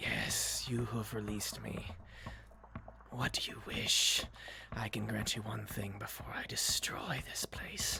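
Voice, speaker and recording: A put-on character voice at a fairly slow pace. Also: man, fairly low pitch for a man. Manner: ominous, grandiose.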